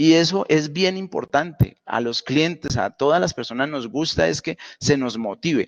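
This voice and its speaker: Dry, close sound with no echo, a Santander Colombian accent, a fairly slow pace and hardly any pauses. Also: man, fairly high pitch for a man, ordinary pitch variation. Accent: Santander Colombian, speaks somewhat abruptly. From Colombia, Santander. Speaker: university lecturer. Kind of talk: online lecture. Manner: many fillers (pues, eh).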